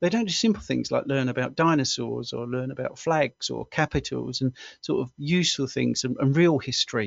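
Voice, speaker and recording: With a southern English accent, a man talks at a fairly quick pace with hardly any pauses. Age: 60s. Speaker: health coach and former stuntman. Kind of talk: interview. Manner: halting.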